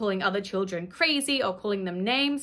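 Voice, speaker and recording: A woman's very fast speech with lively intonation, in an Australian accent. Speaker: YouTuber reviewing a kids' cartoon. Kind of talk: casual vlog commentary. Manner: animated. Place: home room.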